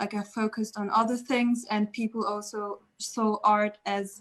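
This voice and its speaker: Her somewhat breathy voice sits at a fairly high pitch, and the woman speaks at a fairly slow pace with monotone, flat intonation. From Germany. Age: 20s. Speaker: artist. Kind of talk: casual talk. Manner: hesitant.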